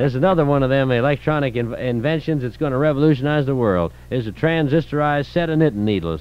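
The man's delivery is very rapid. No echo colors the dry sound. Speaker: radio host. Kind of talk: comedic parody commercial. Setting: radio studio, old tape recording. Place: studio. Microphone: old recording.

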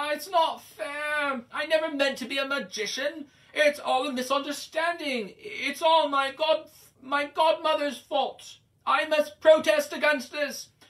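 A high-pitched, whiny put-on character voice. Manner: wailing, whining, self-pitying.

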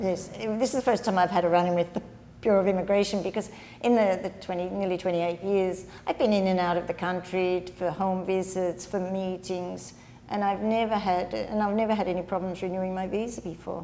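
A woman with an Australian accent talks at a fairly quick pace in a medium pitch, her dark, mellow tone held in fairly even intonation over light background noise. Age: 70s. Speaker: nun. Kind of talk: interview answer. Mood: calm, earnest. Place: home room. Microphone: lapel.

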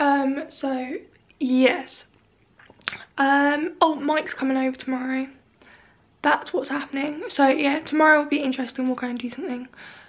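This woman has a high pitch and fairly even intonation at a moderate pace. Her speech is broken by long, frequent pauses. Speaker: vlogger. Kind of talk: casual vlog chat. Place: home room. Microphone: phone near.

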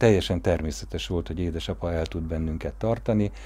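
A man with a very deep, low voice speaks at a fairly quick pace, his pitch swinging very widely, his tone dark and mellow and somewhat breathy. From Hungary. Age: 50s. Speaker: family storyteller narrating a documentary. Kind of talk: personal memoir narration; interview answer. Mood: warm, reminiscing. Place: garden.

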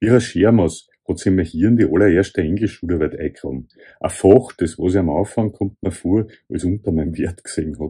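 A man speaks at a moderate pace with a Viennese accent, somewhat breathy in a dark, mellow tone. The background is quiet. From Vienna, Austria. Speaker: author. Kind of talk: author reading from own essay. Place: home room. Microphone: phone near.

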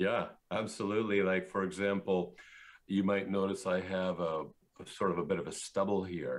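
In a Canadian accent, the speaker keeps a moderate pace and a monotone, flat intonation. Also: man, very deep, low pitch for a man. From central Canada. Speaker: engineer and philosopher; interview guest. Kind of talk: interview. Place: home room. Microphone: video call.

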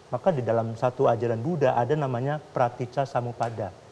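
Light background noise sits behind a man speaking at a fairly quick pace. His tone is dark and mellow, and somewhat breathy. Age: young. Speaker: Buddhist monk; guest. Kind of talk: talk show conversation. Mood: calm, earnest, explaining. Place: studio.

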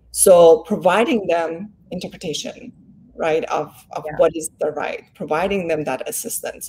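A woman speaks at a moderate pace with a dark, mellow tone and a somewhat breathy, fairly low voice. Her pitch varies in an ordinary way while her loudness swings widely. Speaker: law professor and development expert. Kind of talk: interview.

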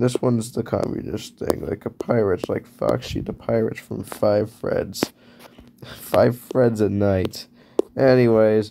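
A man's medium-pitched voice unfolds at a very slow pace. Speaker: YouTuber. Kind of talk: casual drawing commentary. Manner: rambling, halting.

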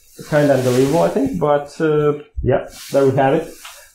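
Audible room echo along with light background noise. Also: man. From Latvia. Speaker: security researcher; conference speaker. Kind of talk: conference talk. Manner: halting. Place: hall.

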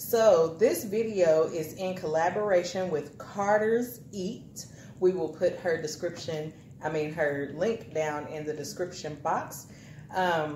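A somewhat breathy woman with a fairly low pitch and ordinary pitch variation talks at a very slow pace, with audible room echo and light background noise. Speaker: family vlogger mother. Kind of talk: casual vlog intro. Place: home room. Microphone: camera far.

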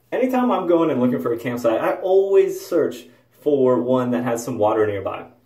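A man speaks at a moderate pace with audible room echo around him. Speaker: travel vlogger. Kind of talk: casual vlog chat. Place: home room. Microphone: phone near.

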